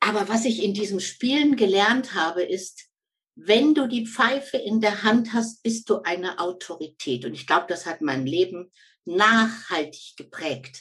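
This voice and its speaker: Her pitch rising and falling very widely, a woman talks fairly slowly. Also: medium pitch for a woman. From Lower Saxony, Germany. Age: 60s. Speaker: former football referee and coach. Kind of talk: interview.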